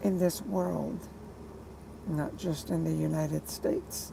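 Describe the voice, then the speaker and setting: A woman speaks quietly at a very slow pace. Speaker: truck driver and artist livestreaming. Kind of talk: casual livestream monologue. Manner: quiet, low-pitched delivery; hesitant, many fillers.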